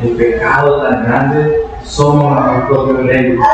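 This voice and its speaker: A man speaks at a very slow pace with noticeable background noise behind him. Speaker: preacher. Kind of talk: sermon. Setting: church. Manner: animated; exhortative.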